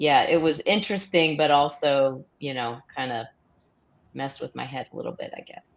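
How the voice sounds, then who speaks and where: Speaking at a moderate pace, a woman with a very deep, low pitch shows ordinary pitch variation and big swings in loudness. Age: 60s. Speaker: viewer panelist. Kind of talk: live stream panel discussion.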